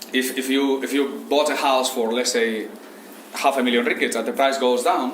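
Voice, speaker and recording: A man speaks at medium pitch with fairly even intonation. The room echo is audible and the background noise noticeable. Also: moderate pace. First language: Spanish. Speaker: Islamic economics teacher. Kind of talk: lecture. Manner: halting.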